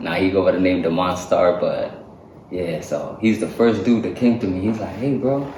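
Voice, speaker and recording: With audible room echo and noticeable background noise, a man speaks at a fairly low pitch. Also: ordinary pitch variation. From Saipan, Northern Mariana Islands. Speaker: hip-hop and R&B artist. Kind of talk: casual interview chat. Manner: casual, slangy. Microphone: technical audio issues in first half.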